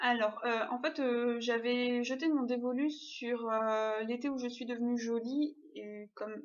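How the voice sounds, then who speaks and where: Pitched high, a woman speaks with fairly even intonation. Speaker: booktuber. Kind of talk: casual vlog. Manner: hesitant, many fillers.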